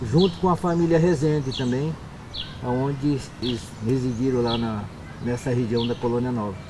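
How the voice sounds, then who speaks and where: Amid noticeable background noise and audible room echo, a man of medium pitch speaks at a moderate pace with ordinary pitch variation and long, frequent pauses. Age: 60s. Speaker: quilombola community member. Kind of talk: oral history interview.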